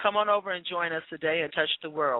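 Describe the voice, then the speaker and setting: At a fairly quick pace, a woman with fairly low pitch and ordinary pitch variation speaks in a normal speaking voice. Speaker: radio talk show co-host. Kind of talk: radio show monologue. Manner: formal.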